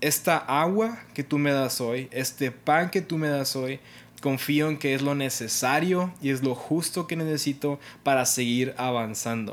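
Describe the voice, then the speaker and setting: A man's fairly high voice moves at a fairly slow pace and shows ordinary pitch variation. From Mexico, Monterrey, Nuevo León. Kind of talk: casual devotional monologue.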